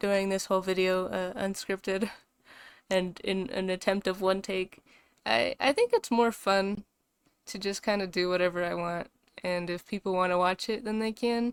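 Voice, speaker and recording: A woman with a medium pitch speaks at a moderate pace with fairly even intonation, the sound dry and close with no echo on a very clean recording with a silent background. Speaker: VTuber artist vlogger. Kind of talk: casual unscripted commentary over speed draw. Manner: monotone; hesitant, many fillers.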